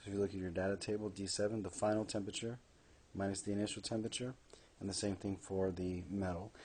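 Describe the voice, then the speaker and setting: Talking at a very fast pace, a man uses a fairly low pitch and a dark, mellow tone. His intonation is flat and monotone. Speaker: high school chemistry teacher. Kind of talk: lecture.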